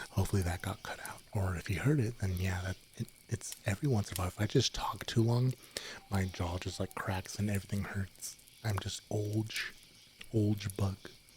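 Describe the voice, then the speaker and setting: This man is soft-spoken and somewhat breathy, with a fairly low pitch. He talks at a moderate pace with fairly even intonation. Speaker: streamer. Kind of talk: softspoken ASMR chat stream. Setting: streaming from home bedroom. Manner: quiet.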